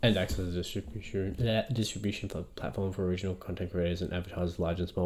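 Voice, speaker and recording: A man talks at a very fast pace in a very deep, low pitch. The recording is very clean, with a silent background. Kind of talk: reading legal text aloud.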